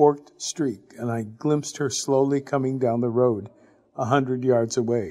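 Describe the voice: The plain reading aloud keeps to fairly even intonation.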